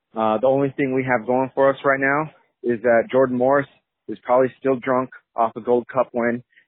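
A man talks at a fairly quick pace in a medium pitch for a man. His intonation is monotone and flat. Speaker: caller, soccer fan. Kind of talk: phone call opinion. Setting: phone call.

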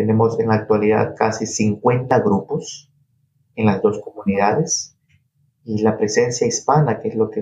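This man has a plain, everyday voice at medium pitch. His intonation stays fairly even. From coastal Ecuador (Guayas province). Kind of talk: interview.

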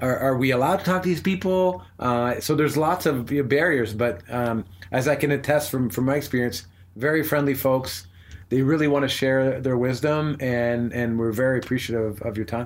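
A man at medium pitch with an ordinary speaking voice, a Canadian accent, ordinary pitch variation and a moderate pace. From Canada. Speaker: podcast host. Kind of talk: interview, casual conversation. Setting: Buddhist center.

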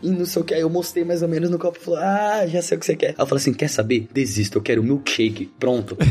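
Over noticeable background noise, a man talks very fast with hardly any pauses, his high voice showing lively intonation and very even loudness. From Brazil, São Paulo state (Suzano). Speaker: software developer. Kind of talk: casual interview.

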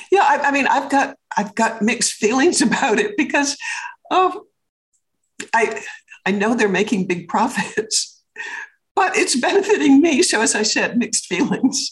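A woman speaks at a moderate pace with a high voice and very wide pitch swings. Her loudness stays very even, broken by long, frequent pauses. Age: 80s+. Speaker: businesswoman and public speaker. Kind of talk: interview. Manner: animated.

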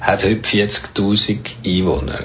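Both audible room echo and noticeable background noise run through the recording. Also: man. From Bernese Jura, Switzerland (French-speaking). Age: 70s. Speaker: writer. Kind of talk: interview. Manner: halting.

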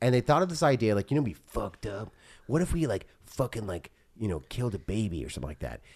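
Fairly low and marked by vocal fry, a man's voice swings very widely in pitch. He talks at a very fast pace. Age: 40s. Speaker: podcast co-host. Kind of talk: casual chat.

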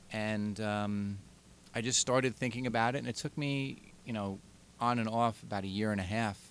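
Speaking at a moderate pace with a Long Island accent, a man has a medium pitch and ordinary pitch variation. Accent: Long Island, New York. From Long Island, New York. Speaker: podcast co-host, librarian.

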